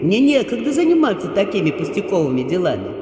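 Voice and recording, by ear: A man uses a put-on character voice at a high pitch with very wide pitch swings. He talks at a fast pace over clear background noise.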